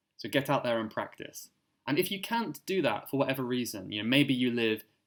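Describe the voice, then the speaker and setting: In a British accent, a man talks at a medium pitch. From Cornwall, southwest England. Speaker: English teacher. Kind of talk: interview answer.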